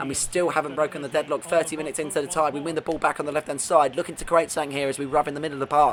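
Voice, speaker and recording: A man with a British accent and a fairly high pitch rushes along at a very fast pace with hardly any pauses, over noticeable background noise. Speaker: gaming video creator. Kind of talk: gameplay commentary. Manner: animated.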